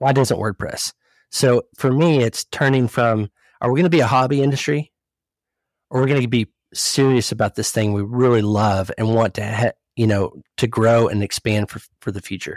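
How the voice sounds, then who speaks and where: A man with a plain, everyday voice speaks at a medium pitch and a moderate pace. His ordinary pitch variation comes through on a very clean recording with a silent background. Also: dry, close sound with no echo. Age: 40s. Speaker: CEO of a professional network. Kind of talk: casual chat.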